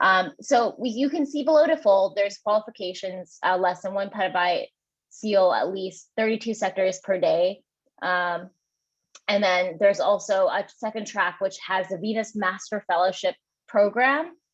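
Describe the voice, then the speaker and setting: Her medium-pitched voice moves with ordinary pitch variation as this woman speaks. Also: moderate pace. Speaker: community program lead presenting at a meeting. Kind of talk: meeting presentation. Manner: hesitant with frequent fillers.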